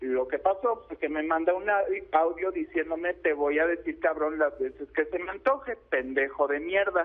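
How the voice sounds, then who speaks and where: This is a man speaking rather slowly. His pitch rises and falls normally. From Mexico. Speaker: aspiring actor. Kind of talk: phone-in testimony. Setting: phone call.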